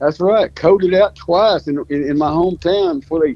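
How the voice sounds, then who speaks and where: A man speaks with a Louisiana accent at a fairly quick pace. His pitch varies in an ordinary way. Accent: Southern US (Louisiana). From US South, North Louisiana. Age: 70s. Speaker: fox hunter, hound breeder. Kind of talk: casual interview chat.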